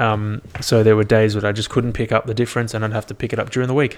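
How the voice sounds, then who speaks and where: A man speaks in a fairly low voice with an Australian accent. His intonation is monotone and flat. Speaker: solo podcaster, fitness and wellbeing. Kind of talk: casual solo monologue. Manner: casual, filler-heavy.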